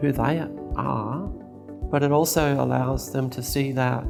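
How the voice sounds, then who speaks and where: A woman speaks with an Australian accent over music in the background. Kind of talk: interview answer.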